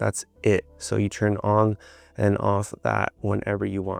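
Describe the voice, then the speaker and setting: There is music in the background as a man speaks at a fairly low pitch. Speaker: video editing tutorial creator. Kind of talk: tutorial. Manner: casual, filler-heavy; fast.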